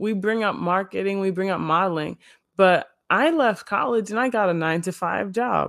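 On a very clean recording with a silent background, an ordinary speaking voice keeps a moderate pace and ordinary pitch variation. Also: woman, medium pitch for a woman. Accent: American. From Illinois suburbs. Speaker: model and marketer. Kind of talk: casual interview chat.

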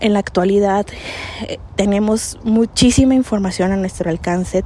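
Over noticeable background noise, the words come at a moderate pace with fairly even intonation. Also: woman. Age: 30s. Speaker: podcast host. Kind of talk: solo monologue.

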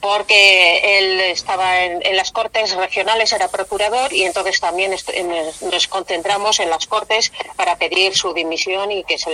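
Recorded with a dry, close sound with no echo but noticeable background noise, a woman speaks at medium pitch and a moderate pace. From Spain, Valladolid. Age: 50s. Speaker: feminist activist. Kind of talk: interview.

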